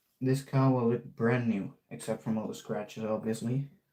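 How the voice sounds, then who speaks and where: A man with a Dutch accent and a dark, mellow tone, at a fairly slow pace. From Netherlands. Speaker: RC hobbyist streamer. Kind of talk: live stream tutorial. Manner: casual, halting.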